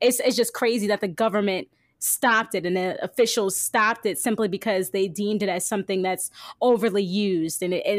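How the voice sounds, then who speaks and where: A woman's fairly high-pitched, ordinary speaking voice with an American accent, in a very clean recording with a silent background. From New Jersey. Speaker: radio host. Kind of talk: casual chat.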